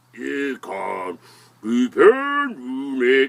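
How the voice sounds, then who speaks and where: Someone uses a put-on character voice pitched in the low-to-middle range. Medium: read story. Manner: proud, drawn-out.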